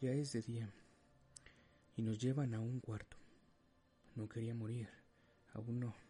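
A man's solemn, somewhat breathy voice at medium pitch, fairly slow and monotone, with long, frequent pauses. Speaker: narrator. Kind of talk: dramatic first-person storytelling narration. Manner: solemn, grave, emotional; measured, suspenseful pacing.

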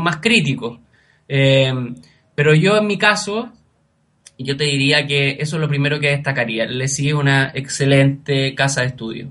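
A man with a Chilean accent speaks in a bright, sharp tone. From Chile, Araucanía region. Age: 30s. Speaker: scholarship recipient, master's graduate. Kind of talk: interview.

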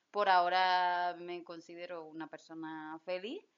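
A woman with a fairly low voice talks at a very slow pace. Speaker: podcast host and lawyer. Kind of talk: interview. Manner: stutters when nervous.

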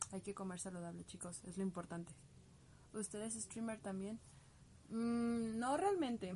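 At a medium pitch with ordinary pitch variation, a woman speaks at a fairly slow pace, leaving long, frequent pauses over noticeable background noise. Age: 20s. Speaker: cosplayer and livestream host. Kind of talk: casual livestream chat answering viewer comments. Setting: home bedroom livestream.

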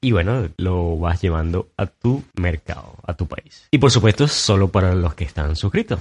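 A man with a very deep, low pitch talks at a fairly slow pace with hardly any pauses, his tone animated and his intonation lively. His voice is somewhat breathy, with a dry, close sound and no echo. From Venezuela, Maturín. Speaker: podcast host. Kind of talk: solo podcast monologue.

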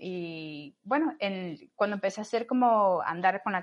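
A woman's ordinary speaking voice, medium in pitch, at a fairly slow pace. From Cuba, Camagüey. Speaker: astrophysicist and mountaineer. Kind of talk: interview.

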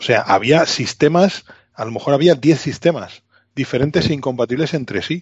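This man talks at a moderate pace at a fairly high pitch. His voice is somewhat breathy, with ordinary pitch variation. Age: 40s. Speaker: retro technology podcaster. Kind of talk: casual chat.

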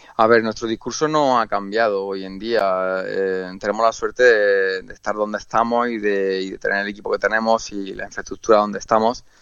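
A man speaks at a moderate pace with fairly low pitch and fairly even intonation. His loudness swings widely. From Andalusia, Spain. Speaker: chef. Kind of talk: radio interview. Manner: hesitant, many fillers and repetitions.

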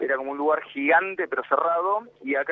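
Noticeable background noise accompanies a man speaking at a moderate pace. He has a Rioplatense accent and a fairly high pitch. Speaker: football fan. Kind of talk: interview.

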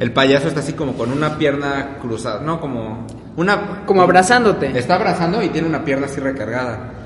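A man speaks at a fairly quick pace, fairly high in pitch with ordinary pitch variation. Audible room echo and noticeable background noise surround his voice. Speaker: podcast co-host. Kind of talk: casual chat.

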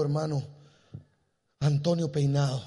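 Speaking at a very slow pace, a man with a fairly high pitch and ordinary pitch variation sounds somewhat breathy, with a dark, mellow tone and audible room echo. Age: 50s. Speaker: pastor. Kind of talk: sermon. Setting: church. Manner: animated.

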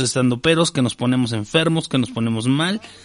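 A man talks with a Mexican accent. The background is quiet. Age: 40s. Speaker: podcast host and stand-up comedian. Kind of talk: casual chat.

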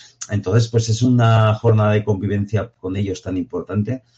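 Fairly low, somewhat breathy male speech at a fairly quick pace. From Aragon, Spain (Jaca). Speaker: professional mountaineer. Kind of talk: interview.

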